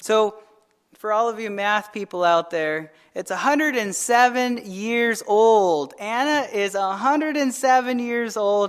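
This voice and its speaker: A man talks at a high pitch. His pace is fairly slow. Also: ordinary pitch variation. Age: 30s. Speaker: pastor. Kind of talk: sermon.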